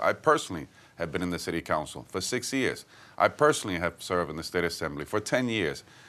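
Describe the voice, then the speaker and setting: A man with a Puerto Rican accent at a very fast pace, his pitch swinging very widely, over a quiet background. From Puerto Rico, Santurce. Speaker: politician. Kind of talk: interview.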